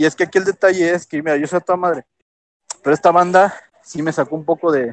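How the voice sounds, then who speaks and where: A man with a Mexican accent, fairly high in pitch, at a moderate pace. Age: 30s. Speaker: cooking show contestant. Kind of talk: casual chat.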